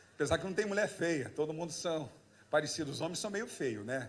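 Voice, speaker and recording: A man with a high-pitched voice speaks with ordinary pitch variation, and room echo is audible. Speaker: pastor. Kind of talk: sermon. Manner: animated.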